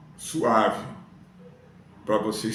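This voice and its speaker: Noticeable background noise and audible room echo surround a man talking fairly slowly. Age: 70s. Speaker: YouTuber. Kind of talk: casual talk to camera. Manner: casual conversational.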